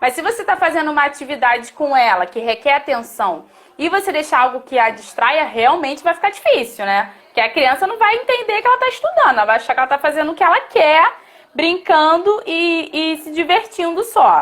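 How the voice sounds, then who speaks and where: A woman's high-pitched voice at a fairly quick pace, with very wide pitch swings and noticeable background noise. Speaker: teacher. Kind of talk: live stream talk. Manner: fast.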